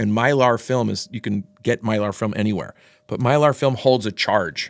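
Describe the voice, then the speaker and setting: A medium-pitched male voice at a moderate pace. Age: 60s. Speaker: former executive of a sports wristband company. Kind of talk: casual interview chat. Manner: halting, many false starts and repetitions.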